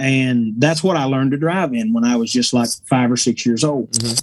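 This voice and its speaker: A man at a moderate pace with an Appalachian accent, in a dry, close sound with no echo. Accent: Appalachian Southern. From East Tennessee. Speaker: bluegrass musician. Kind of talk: casual interview chat.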